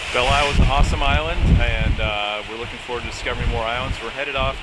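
A man rattles off his words at a very fast pace against loud background noise. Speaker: sailor vlogger. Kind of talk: casual vlog chat. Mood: cheerful, enthusiastic. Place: boat. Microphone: phone near.

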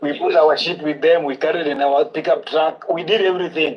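Speaking at a fairly quick pace, a man with a fairly high pitch keeps his intonation fairly even.

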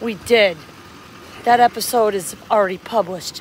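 Over light background noise, a woman speaks at a fairly slow pace with ordinary pitch variation. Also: dry sound with no echo. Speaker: travel vlogger. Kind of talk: casual vlog chat. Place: street. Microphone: phone near.

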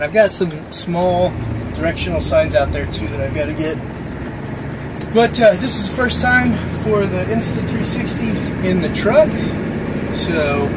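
A male speaker talks at a fairly slow pace, leaving long, frequent pauses, while loud background noise fills the recording. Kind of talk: casual vlog chat. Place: car. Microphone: camera far.

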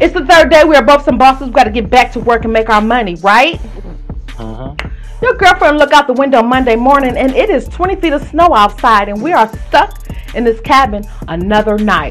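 A woman's high-pitched voice at a fairly quick pace, with faint music in the background. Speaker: interview host. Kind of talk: playful interview banter, telling a scenario. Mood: playful, teasing, laughing.

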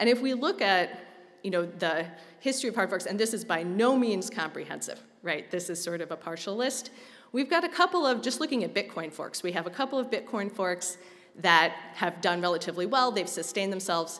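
With lively intonation, a woman talks at a fairly quick pace. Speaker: conference presenter. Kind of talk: lecture. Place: hall. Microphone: podium.

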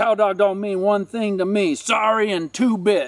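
A man puts on a high-pitched character voice at a moderate pace. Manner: menacing, threatening.

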